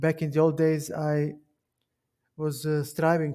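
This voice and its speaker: A man speaks with a Serbian accent. His voice is fairly high in pitch, with a dark, mellow tone. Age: 30s. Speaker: chess streamer. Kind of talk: casual chat. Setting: live stream with Discord call.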